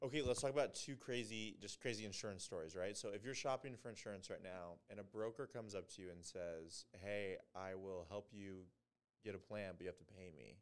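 A man talks in a normal speaking voice, fairly low in pitch. He moves at a fairly quick pace with ordinary pitch variation. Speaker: podcast co-host. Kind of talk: casual chat.

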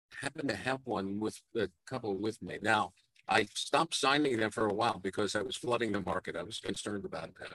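In a New York accent, a man talks at a fairly quick pace, his fairly low pitch varying in an ordinary way and his tone bright and sharp. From Brooklyn, New York. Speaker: veteran geotechnical engineer, teacher. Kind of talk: casual interview. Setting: conference floor, live broadcast. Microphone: poor audio.

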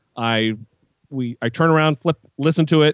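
Pitch variation stays ordinary as this voice speaks in an American accent. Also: man. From US, small town. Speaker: atheist podcaster and video maker. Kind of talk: casual interview. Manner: animated.

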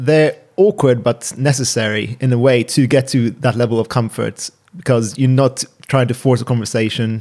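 With a British accent, a man talks at a moderate pace in a medium pitch, with ordinary pitch variation and very even loudness. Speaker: doctor. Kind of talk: casual chat. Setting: at home.

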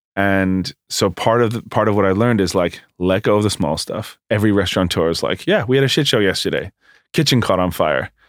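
With a New York accent, a man speaks fairly quickly in a fairly low voice, his pitch moving in an ordinary way. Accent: New York American. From New York area, US. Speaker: bagel shop founder. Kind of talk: casual interview. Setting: studio.

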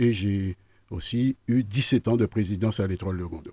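Over a very clean, silent background with a dry, close sound and no echo, a man speaks fairly slowly at a fairly low pitch. His tone is dark, mellow and somewhat breathy, with fairly even intonation. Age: 60s. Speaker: political candidate. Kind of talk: radio interview. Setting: radio studio.

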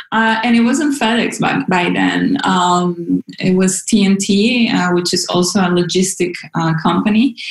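Speaking with a Spanish accent, a woman at medium pitch keeps a fairly slow pace and very even loudness. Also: ordinary pitch variation. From Venezuela, Caracas. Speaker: localization program manager. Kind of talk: interview. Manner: halting, many fillers.

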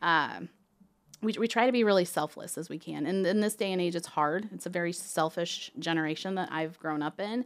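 With an ordinary speaking voice, a woman talks at a fairly quick pace and fairly low pitch, using ordinary pitch variation on a very clean recording with a silent background. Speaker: towing company owner. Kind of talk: interview. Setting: studio.

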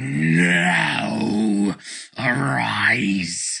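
This is a put-on character voice with a growling sound. Its pitch swings very wide. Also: man, very deep, low pitch for a man.

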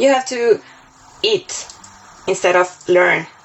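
Over music in the background, a woman with a Spanish accent speaks at a fairly slow pace with fairly even intonation. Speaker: competition organizer. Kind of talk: interview testimony.

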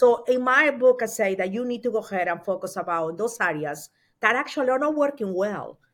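A woman with a Spanish accent talks fairly quickly at a fairly high pitch, her intonation lively. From Peru. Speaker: author and consultant. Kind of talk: interview.

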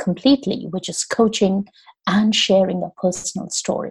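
A woman's somewhat breathy, medium-pitched voice at a moderate pace over a quiet background. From India. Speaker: storytelling coach. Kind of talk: interview conversation.

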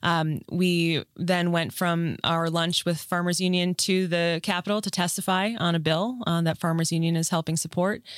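An unremarkable speaking voice comes through with fairly even intonation, very even loudness and hardly any pauses on a very clean recording with a silent background. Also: woman, fairly low pitch for a woman, moderate pace. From Minnesota, US Upper Midwest. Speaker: state agriculture official. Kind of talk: interview.

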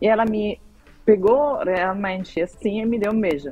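A woman speaks at a moderate pace with a slight Italian accent. Music plays in the background. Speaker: marketing director and novelist. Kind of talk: interview, personal testimony.

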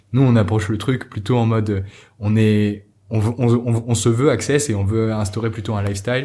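A man of medium pitch, with a dark, mellow tone, speaks at a moderate pace and with fairly even intonation in a very clean recording with a silent background. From Normandy, France. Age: 20s. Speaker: entrepreneur. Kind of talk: interview. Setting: coworking space. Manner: halting, many fillers and repetitions.

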